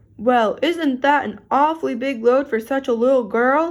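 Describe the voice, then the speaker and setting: A woman's put-on character voice, high in pitch, with ordinary pitch variation and a moderate pace. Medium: read story.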